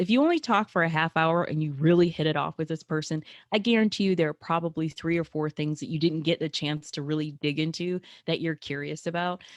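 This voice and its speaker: Speaking very fast at a fairly low pitch, a woman is heard in a dry, close sound with no echo against a quiet background. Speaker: networking coach. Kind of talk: live webinar presentation. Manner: loud.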